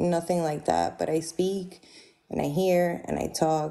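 A woman speaks at a fairly slow pace in a fairly low pitch. Her tone is dark and mellow, and her intonation is flat and monotone. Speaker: caller; livestream host. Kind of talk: debate. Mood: questioning, challenging. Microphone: studio mic.

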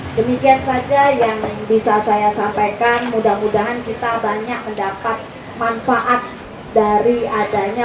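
A woman speaks in a monotone, flat intonation with noticeable background noise. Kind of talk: formal opening speech. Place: street.

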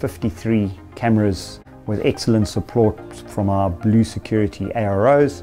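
Clear music plays in the background as a man speaks at a fairly low pitch. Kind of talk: interview answer. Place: office. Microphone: lapel.

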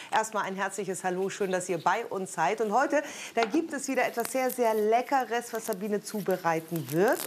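A woman's voice at a moderate pace, lively in intonation, over light background noise. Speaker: TV show host. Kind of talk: TV presenter moderation. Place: studio. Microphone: lapel.

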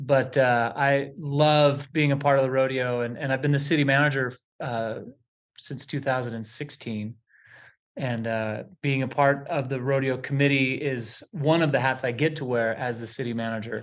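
Fairly even intonation marks this man's speech. He talks at a moderate pace. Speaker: guest. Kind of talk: interview answer. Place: studio.

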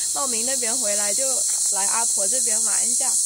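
A woman's voice in a dry sound with no echo, against noticeable background noise. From Guangxi, China. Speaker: rural life vlogger. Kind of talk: casual vlog talk. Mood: cheerful, friendly. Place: garden.

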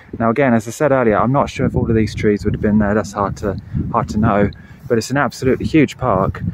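Noticeable background noise accompanies a man talking at a very fast pace, with a dry sound and no echo. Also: ordinary pitch variation. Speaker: bonsai hobbyist vlogger. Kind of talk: casual vlog chat. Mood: storytelling, gruesome local history. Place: open country. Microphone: phone near.

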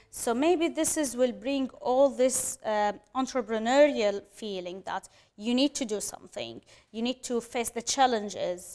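With an Arabic accent, a woman talks at a high pitch and fairly slow pace, with ordinary pitch variation against a quiet background. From Syria. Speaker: refugee cheese business owner. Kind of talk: interview conversation. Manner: hesitant with fillers. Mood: earnest, reflective. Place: studio.

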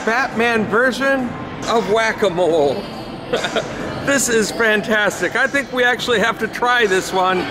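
Noticeable noise runs in the background. The speaking pace is fairly slow. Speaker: travel vlogger. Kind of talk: casual vlog chat. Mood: cheerful, amused, laughing often. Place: hall. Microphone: phone near.

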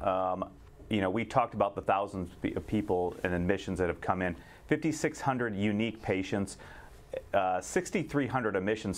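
Against a quiet background, a man with a fairly low pitch and a plain, everyday voice speaks at a moderate pace. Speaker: infectious disease physician. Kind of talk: panel discussion.

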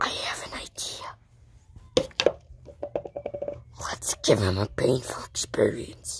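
A cartoonish character voice, raspy and at a very slow pace, stretches out with long, frequent pauses. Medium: puppet.

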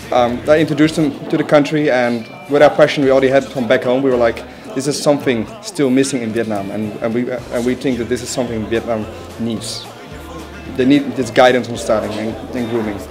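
Clear music plays in the background as a man talks at a fairly quick pace with ordinary pitch variation. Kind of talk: interview answer. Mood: relaxed, friendly. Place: shop.

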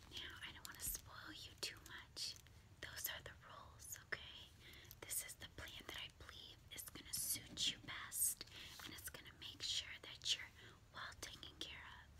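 Someone whispers at a fairly slow pace. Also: woman. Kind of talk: role-play monologue to viewer. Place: home room. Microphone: phone near.

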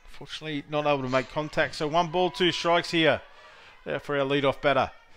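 With music in the background, a man in an Australian accent talks at a fairly quick pace in a fairly high voice. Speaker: sports commentator. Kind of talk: live sports commentary, play-by-play. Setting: softball tournament venue commentary.

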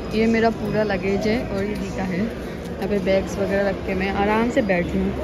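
Loud background noise surrounds a voice speaking at a fairly slow pace, the sound dry with no echo. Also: woman. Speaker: travel vlogger. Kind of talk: casual vlog chat. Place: station.

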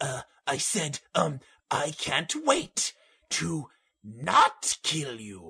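In a raspy voice pitched fairly high for a man, he speaks at a very slow pace. The man's tone is sinister. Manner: sinister, scheming.

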